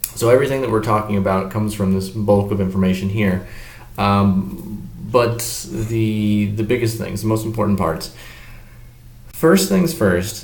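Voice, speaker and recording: A man speaks quietly at a moderate pace, fairly low-pitched with ordinary pitch variation. There is audible room echo. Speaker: teacher. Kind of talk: lecture. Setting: hotel business office.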